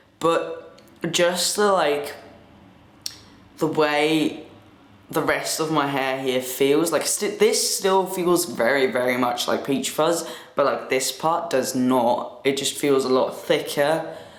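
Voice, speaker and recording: A man with a fairly high pitch speaks very slowly, his pitch varying in an ordinary way. Noticeable background noise and audible room echo surround his voice. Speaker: vlogger. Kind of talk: casual vlog. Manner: casual, halting.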